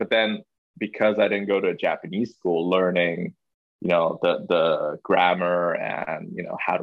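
A man speaks with a Chinese accent. His pace is moderate. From Hong Kong. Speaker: podcast guest. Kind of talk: casual interview chat.

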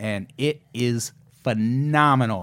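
This very clean recording has a silent background and a man using a normal speaking voice. His pitch is medium and his intonation fairly even. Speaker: podcast host. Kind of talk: casual comedic banter.

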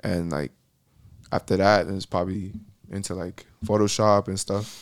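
A man with an American accent speaks at a moderate pace and a fairly low pitch, with fairly even intonation. The sound is dry and close, with no echo. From Miami, Florida. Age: 20s. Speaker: musician and graphic designer. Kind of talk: casual chat. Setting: studio.

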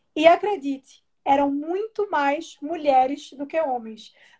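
This woman's voice sits high in pitch, with a dark, mellow tone. Her pitch varies in an ordinary way. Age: 20s. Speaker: political commentator. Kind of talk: casual chat.

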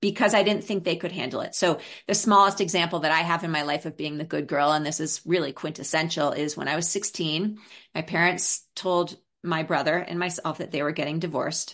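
Fairly even intonation marks this New York accent, heard over a quiet background. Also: woman, fairly low pitch for a woman, fairly quick pace. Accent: New York American. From New York City (Brooklyn). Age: 50s. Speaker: parenting and maternal mental health expert. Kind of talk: podcast interview.

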